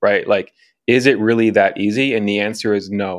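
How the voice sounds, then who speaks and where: With an American accent and a normal speaking voice, a man speaks at a medium pitch with fairly even intonation. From Chicago. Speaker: commercial film director and executive producer. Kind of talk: casual interview chat.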